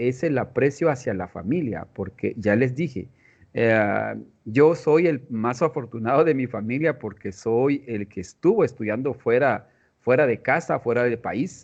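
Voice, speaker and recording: Against a quiet background, a man with a Guatemalan accent speaks fairly slowly, his intonation lively. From Guatemala, Tz'utujil-speaking village. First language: Tz'utujil (speaking Spanish). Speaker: mathematics education professor. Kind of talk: interview. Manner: halting.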